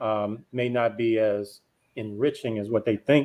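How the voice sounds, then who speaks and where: A man talks with a Memphis accent. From US South, Memphis, Tennessee. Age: 40s. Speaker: panelist on discussion show. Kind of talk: casual panel discussion.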